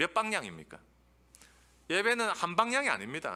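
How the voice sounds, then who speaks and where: The man's voice has a bright, sharp tone. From Busan, South Korea. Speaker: theology professor. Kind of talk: lecture. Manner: animated.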